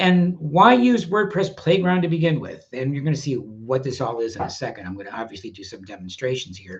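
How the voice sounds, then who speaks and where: A man speaks with a fairly high, somewhat breathy voice. His pitch swings very widely. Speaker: WordPress educator. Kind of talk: webinar presentation. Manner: casual, many fillers.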